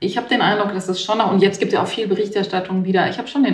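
A woman's fairly even intonation amid audible room echo. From Baden-Württemberg, Germany. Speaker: newspaper journalist. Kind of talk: interview.

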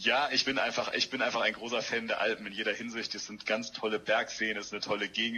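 Speaking fairly quickly, a man holds a medium pitch in a monotone, flat delivery. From Hamburg, northern Germany. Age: 40s. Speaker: politician. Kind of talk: interview.

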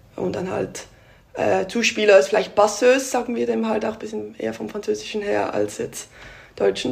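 At a moderate pace, a woman speaks. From Switzerland (Basel area). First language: Swiss German (speaking German). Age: 20s. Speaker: volleyball player. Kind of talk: interview. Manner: hesitant.

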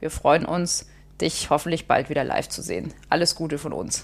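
Speaking at a moderate pace, a woman talks with vocal fry. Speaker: music journalist, podcast co-host. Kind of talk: casual chat.

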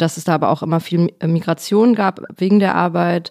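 A woman with a plain, everyday voice, a fairly low pitch, fairly even intonation and a moderate pace. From Ruhr area, Germany. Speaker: actress. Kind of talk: casual chat.

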